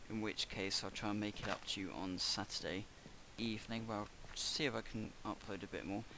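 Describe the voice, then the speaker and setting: Speaking at a fairly quick pace, a man keeps a fairly low pitch and fairly even intonation. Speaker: gaming YouTuber. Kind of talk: gameplay commentary.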